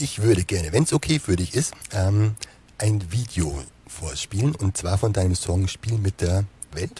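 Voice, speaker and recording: A fairly low-pitched man's voice, dark and mellow, somewhat breathy, with lively intonation at a fairly slow pace. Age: 40s. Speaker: web show host. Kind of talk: interview.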